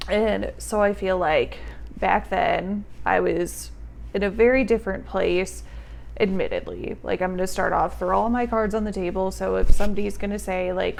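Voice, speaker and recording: Room echo can be heard clearly. Within it, a woman speaks at a moderate pace. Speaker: vlogger. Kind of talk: casual storytime vlog. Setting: home, on tripod. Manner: loud; animated.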